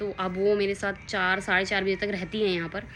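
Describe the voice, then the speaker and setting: A woman speaks over noticeable background noise. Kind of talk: casual talk to camera. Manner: slightly nervous, hesitant.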